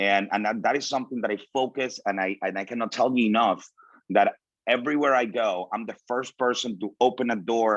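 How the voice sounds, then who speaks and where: In a Spanish accent, a man speaks at medium pitch with fairly even intonation and a fairly quick pace over a quiet background. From Venezuela. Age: 30s. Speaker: motivational speaker. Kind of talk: motivational talk.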